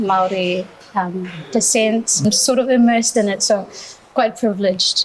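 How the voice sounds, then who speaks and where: Over noticeable background noise, a woman with a fairly high voice speaks at a moderate pace with ordinary pitch variation and very even loudness. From Solomon Islands, then New Zealand from 2014. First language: Babatana. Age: 20s. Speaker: beauty pageant titleholder. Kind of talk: podcast interview. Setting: restaurant, live shoot.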